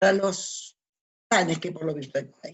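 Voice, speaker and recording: In an Argentine accent, a woman speaks with a fairly low pitch and ordinary pitch variation. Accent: Argentine Spanish (Rioplatense). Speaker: radio host / spiritual talk host. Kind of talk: casual monologue.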